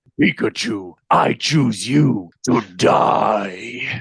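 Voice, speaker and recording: A man's raspy, put-on character voice, medium in pitch and very slow. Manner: grim, menacing, edgy.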